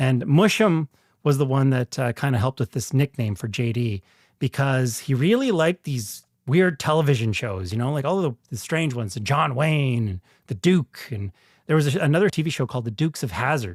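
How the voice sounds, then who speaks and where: A man with a Canadian prairie accent speaks at a fairly quick pace, medium-pitched and somewhat breathy, with lively intonation. The recording is very clean with a silent background, dry and close with no echo. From rural northern Saskatchewan, Canada. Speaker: actor and podcast host. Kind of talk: casual monologue.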